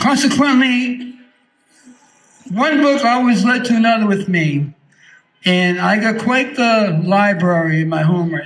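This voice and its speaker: Fairly slow delivery with long, frequent pauses. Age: 60s. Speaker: rally speaker, Air Force veteran. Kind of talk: protest rally speech. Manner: impassioned, emphatic.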